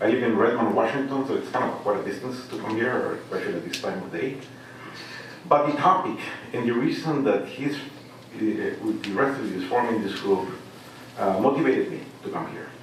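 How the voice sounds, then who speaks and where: A fairly quick pace with a Mexican accent and ordinary pitch variation, plus audible room echo and noticeable background noise. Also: man, medium pitch for a man. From Mexico. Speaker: congressional candidate. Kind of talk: debate.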